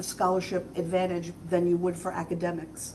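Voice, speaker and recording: Speech from a woman, moderate in pace and ringing with audible room echo. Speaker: school board member. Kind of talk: comments at board meeting. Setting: school board meeting.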